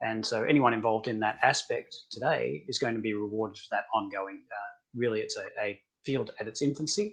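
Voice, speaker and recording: Speaking at a fairly quick pace with an Australian accent, a man's loudness swings widely. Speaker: tech company founder. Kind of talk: webinar interview.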